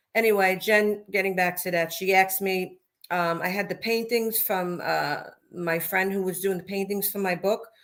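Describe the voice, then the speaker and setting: A woman talks with a Brooklyn accent at a moderate pace. Her intonation is monotone and flat. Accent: deep Brooklyn. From Brooklyn, New York. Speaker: mob wife and author. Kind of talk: interview.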